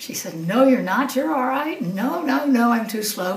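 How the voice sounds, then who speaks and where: Lively intonation at a moderate pace comes through noticeable background noise. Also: woman. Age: 80s+. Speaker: retired psychiatrist and masters swimmer. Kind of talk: interview answer.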